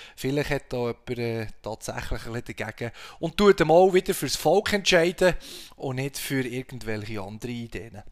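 A man with a Swiss accent speaks at a medium pitch and moderate pace. His intonation is lively. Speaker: podcast host. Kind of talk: casual chat. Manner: halting, many fillers.

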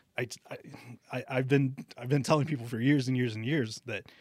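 On a very clean recording with a silent background, an American-accented man speaks at a fairly quick pace. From Texas, Alice near Corpus Christi. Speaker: golf shop manager and club fitter. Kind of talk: interview. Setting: studio.

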